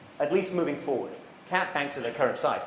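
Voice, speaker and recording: Audible room echo surrounds a man's speech. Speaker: economics professor. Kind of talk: public lecture. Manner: repetitive false starts.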